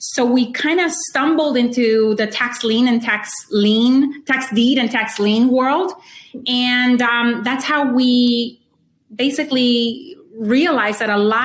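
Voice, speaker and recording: High, woman's speech with ordinary variation in pitch. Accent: Spanish. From Honduras. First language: Spanish. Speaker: real estate investor. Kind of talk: interview.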